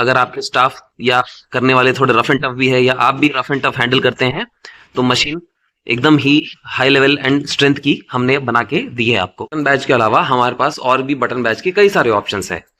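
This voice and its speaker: A man speaks at a medium pitch with a bright, sharp tone. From South India. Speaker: badge machine seller. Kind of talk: product tutorial and sales pitch.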